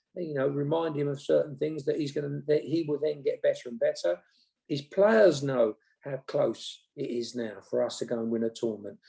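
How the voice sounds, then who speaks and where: Speaking at a moderate pace, the man has an English accent. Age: 60s. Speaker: former football manager. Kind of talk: interview. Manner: halting.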